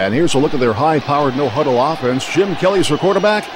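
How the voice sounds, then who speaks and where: Crowd noise fills the background as a man speaks with very wide pitch swings. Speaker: sports play-by-play announcer. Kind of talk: football play-by-play commentary.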